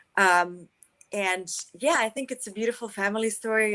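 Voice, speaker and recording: A woman speaks at a moderate pace with a slight Russian accent. Her tone is bright and sharp, and her intonation stays fairly even. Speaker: actress. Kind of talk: interview.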